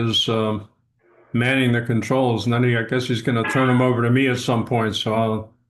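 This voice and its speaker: A man's medium-pitched, monotone, flat delivery against a quiet background. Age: 70s. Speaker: professional association meeting host. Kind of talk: casual chat on a video call. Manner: hesitant, many fillers.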